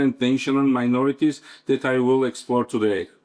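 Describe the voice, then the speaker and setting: A man with a Georgian accent. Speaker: professor. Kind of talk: conference talk. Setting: conference. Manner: halting, many fillers.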